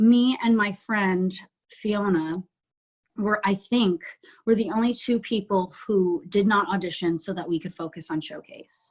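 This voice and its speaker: A woman with an American accent speaks at a fairly slow pace in a somewhat breathy voice. Her pitch sits at a medium level, with ordinary variation. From New Jersey. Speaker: musical theatre actress. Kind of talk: interview podcast.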